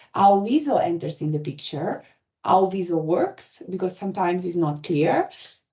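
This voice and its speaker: This woman speaks with an Italian accent at medium pitch. Her pace is moderate, with ordinary pitch variation. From Italy. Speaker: patient experience lead for a health app. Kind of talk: webinar presentation. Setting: online webinar.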